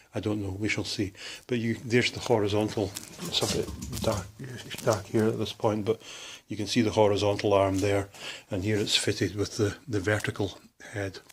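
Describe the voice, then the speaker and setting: Speaking with a Scottish accent, a man uses a fairly low, somewhat breathy voice and monotone, flat intonation at a moderate pace broken by long, frequent pauses. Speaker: hobbyist machinist. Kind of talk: workshop tour. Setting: workshop. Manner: casual, hesitant with fillers.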